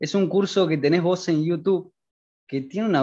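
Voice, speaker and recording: With a Rioplatense accent, a man speaks fairly quickly in a fairly high, dark, mellow voice against a quiet background. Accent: Argentine Rioplatense Spanish. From Argentina. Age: 20s. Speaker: student and self-taught game developer. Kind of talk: interview. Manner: hesitant, many fillers.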